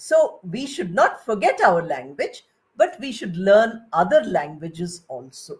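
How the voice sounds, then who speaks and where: A woman speaks with a Bengali accent at a fairly slow pace. Her fairly high pitch moves in very wide swings. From India (Bengali). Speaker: retired English professor. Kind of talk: lecture.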